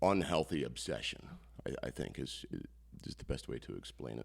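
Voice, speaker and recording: Here a man with a US Midwestern accent speaks at a moderate pace, with vocal fry. His pitch swings very widely. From northeast Iowa, US Midwest. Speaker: comedian-magician. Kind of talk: casual interview chat. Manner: halting, many fillers.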